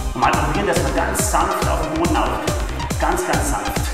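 Over loud background music and audible room echo, a man talks at a fairly slow pace. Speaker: fitness trainer. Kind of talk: workout instruction. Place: gym.

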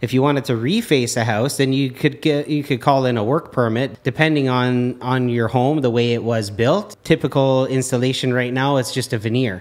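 This man has a plain, everyday voice at a medium pitch with fairly even intonation. He keeps a moderate pace with hardly any pauses. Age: 40s. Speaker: mason. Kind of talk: casual chat.

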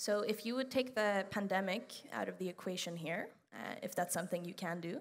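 A woman speaks with a moderate pace and pitch that varies in an ordinary way. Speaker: student interviewer. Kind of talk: interview. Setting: stage with audience. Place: hall.

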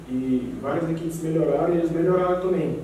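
With strong room echo and light background noise, a man speaks at a fairly quick pace. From Brazil, Goiás (Jataí). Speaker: professional footballer. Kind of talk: press conference. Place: meeting room.

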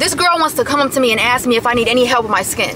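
Amid noticeable background noise, a woman with an American accent uses a raised, projected, high voice with lively intonation. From US Midwest. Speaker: YouTube vlogger. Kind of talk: casual vlog talk to camera. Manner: animated. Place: car.

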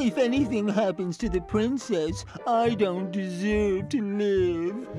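Over loud music in the background, a female-sounding voice at medium pitch does a put-on character voice at a fairly slow pace. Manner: droopy, mournful.

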